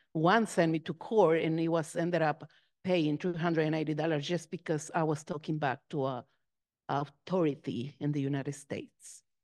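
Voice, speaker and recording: A woman with a Spanish accent speaks at a fairly quick pace in a very deep, low voice. Her intonation is fairly even, over a quiet background. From Mexico. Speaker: Episcopal minister. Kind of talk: panel discussion.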